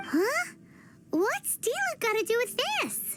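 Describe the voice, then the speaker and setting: In a put-on character voice, the speaker sounds squeaky and extremely high-pitched, going at a fairly slow pace. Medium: video game. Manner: excitable, blunt.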